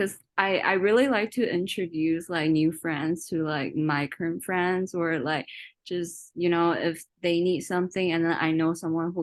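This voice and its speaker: Against a quiet background, a woman with a Chinese accent speaks with fairly even intonation and hardly any pauses. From China. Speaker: workshop participant. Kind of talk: casual sharing in a workshop. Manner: halting, many fillers.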